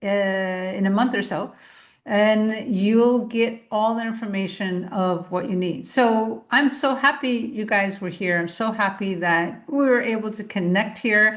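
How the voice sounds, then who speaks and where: Against a quiet background, a woman with an ordinary speaking voice talks at a fairly slow pace in a fairly high pitch with ordinary pitch variation. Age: 60s. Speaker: podcast host, naturopath. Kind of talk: solo podcast monologue. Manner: casual, conversational.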